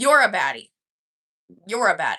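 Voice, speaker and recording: An animated woman with an American accent, her tone bright and sharp, at a moderate pace. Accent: sounds American, people say Midwest. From Canada. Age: 20s. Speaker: livestreamer. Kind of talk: casual chat. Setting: live stream.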